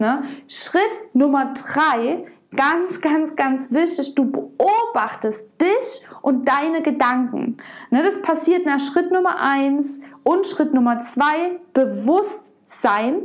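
Speaking at a very slow pace, a woman with a high voice uses lively intonation and very even loudness, with audible room echo around her. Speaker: podcast host and body-image coach. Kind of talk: solo podcast monologue. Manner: emotional, heartfelt.

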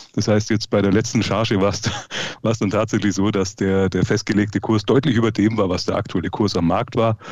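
Keeping very even loudness and hardly any pauses, a man of fairly low pitch speaks at a moderate pace in a monotone, flat intonation. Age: 30s. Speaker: private investor and Instagram creator. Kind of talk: casual chat. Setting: video call.

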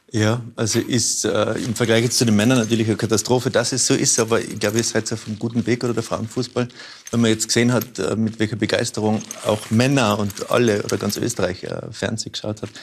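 A man with a Tyrolean accent, medium pitch and monotone, flat intonation at a very fast pace, over noticeable background noise. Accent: Tyrolean Austrian German. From Tyrol, Austria. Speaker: author and painter. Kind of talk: interview chat.

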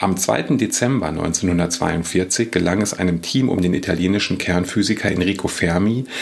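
Through noticeable background noise comes a man's very deep, low voice with ordinary pitch variation. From Lower Rhine, western Germany. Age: 40s. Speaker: historian and podcast host. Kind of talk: scripted narration.

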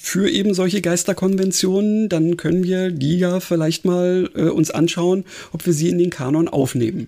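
Noticeable background noise behind a man with a high pitch, fairly even intonation and a moderate pace. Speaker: podcast co-host. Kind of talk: casual chat. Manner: hesitant, many fillers.

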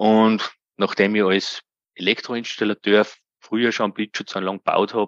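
Monotone, flat intonation from a man with a fairly low pitch, quiet background. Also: dry, close sound with no echo. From Austria, Upper Austria. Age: 40s. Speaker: self-employed occupational safety specialist. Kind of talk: interview.

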